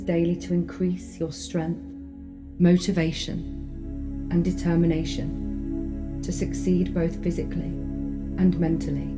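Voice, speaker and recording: A woman speaks in a calm, soothing tone at a fairly slow pace, with music in the background. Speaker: clinical hypnotherapist. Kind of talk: sleep hypnosis guided meditation. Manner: calm, soothing, slow.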